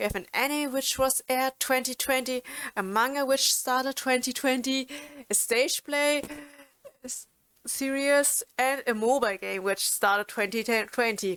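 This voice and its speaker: Dry and close with no echo, the recording captures a woman with a German accent speaking at high pitch and a moderate pace with ordinary pitch variation. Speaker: YouTuber and streamer. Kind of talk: informational video talk. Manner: halting, many fillers and restarts.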